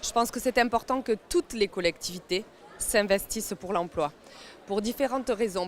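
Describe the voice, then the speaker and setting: This woman has a fairly high voice. Her pitch varies in an ordinary way. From France, Seine-Saint-Denis (Paris suburbs). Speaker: mayor. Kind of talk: interview. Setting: job fair at a stadium. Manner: hesitant, many fillers.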